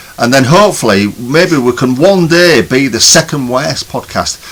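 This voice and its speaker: A man with a northern English accent speaks at a moderate pace, his fairly high voice making very wide pitch swings. Noticeable background noise is present. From northern England. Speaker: podcast co-host. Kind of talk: casual chat.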